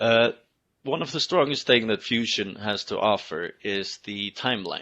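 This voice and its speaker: A man speaks with a bright, sharp tone at a fairly slow pace, using ordinary pitch variation. The background is quiet. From Iceland. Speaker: fab lab manager teaching a class; software instructor. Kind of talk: software tutorial. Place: home room. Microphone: headset.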